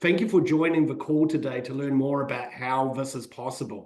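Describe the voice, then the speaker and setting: The voice belongs to a man. A New Zealand accent comes through. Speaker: financial advisor. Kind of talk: webinar presentation.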